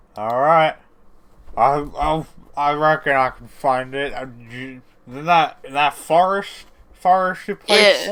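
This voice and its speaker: This put-on character voice rumbles at a fairly slow pace with ordinary pitch variation. Long, frequent pauses break up the speech. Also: man, fairly high pitch for a man. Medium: actual play. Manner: slow, stumbling over words.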